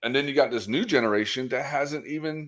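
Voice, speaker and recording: Here a man speaks with an American accent at a medium pitch. His voice has vocal fry. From US South, Florida Panhandle. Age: 40s. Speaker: podcast host. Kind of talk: casual interview chat. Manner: halting, many repetitions.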